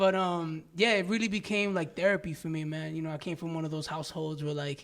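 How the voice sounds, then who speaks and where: A very fast man with a New York accent, fairly high in pitch, his intonation fairly even. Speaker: rapper. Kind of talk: casual interview.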